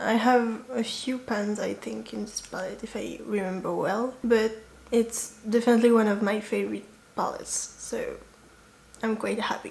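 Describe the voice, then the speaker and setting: Over noticeable background noise, a woman with a French accent speaks at a moderate pace. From France. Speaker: beauty YouTuber. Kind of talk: casual vlog chat.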